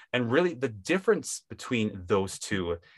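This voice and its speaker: Against a quiet background, a man with a Midwestern US accent speaks at a moderate pace with ordinary pitch variation. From US Midwest, Wisconsin. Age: 20s. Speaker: hypnotist.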